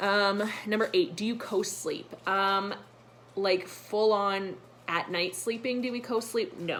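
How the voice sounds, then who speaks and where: This woman has an unremarkable speaking voice at medium pitch. Her intonation stays fairly even. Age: 20s. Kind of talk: casual talk to camera.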